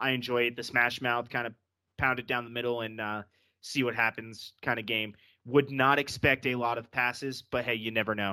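A man's bright, sharp, monotone voice at a fairly quick pace, flat in intonation, on a very clean recording with a silent background. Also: medium pitch for a man. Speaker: football podcast host. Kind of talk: casual banter, sports podcast. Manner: fast talker.

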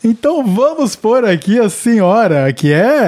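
Very wide pitch swings run through a man's voice, which has a dark, mellow tone. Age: 30s. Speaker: podcast host. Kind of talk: casual chat.

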